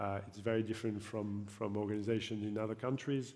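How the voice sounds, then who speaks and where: A dark, mellow voice speaks fairly quickly in a monotone, flat delivery. Audible room echo surrounds it. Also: man. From France. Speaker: football league executive. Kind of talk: panel discussion. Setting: stage with audience. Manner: halting, many fillers and repetitions.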